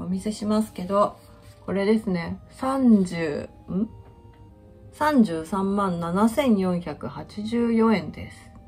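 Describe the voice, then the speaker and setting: Faint music plays in the background as a woman speaks at a moderate pace with big swings in loudness. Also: ordinary pitch variation. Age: 50s. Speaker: finance worker on leave. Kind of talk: casual talk to camera. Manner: casual, chatty. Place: kitchen. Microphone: phone near.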